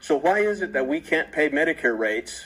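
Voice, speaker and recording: A man with an American accent amid noticeable background noise. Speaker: insurance agent. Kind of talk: public comment at a meeting. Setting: public meeting. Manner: fast.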